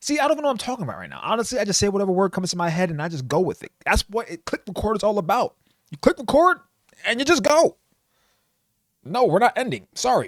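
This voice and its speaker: A man's high-pitched voice at a very fast pace, with very wide pitch swings and big swings in loudness, dry and close with no echo. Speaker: anime YouTuber. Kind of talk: unscripted casual commentary. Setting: home computer desk. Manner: stumbling over words.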